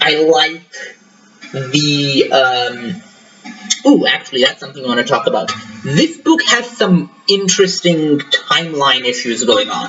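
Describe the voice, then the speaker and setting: A man's moderate-paced speech over noticeable background noise. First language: not English. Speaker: book reviewer. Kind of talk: casual book review monologue. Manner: halting, many fillers. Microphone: laptop mic, wonky levels, tinny echo.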